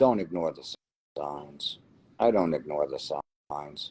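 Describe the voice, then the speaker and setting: In a New Jersey accent, a man speaks at a very slow pace, with a dry, close sound and no echo. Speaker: lottery winner. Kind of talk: interview.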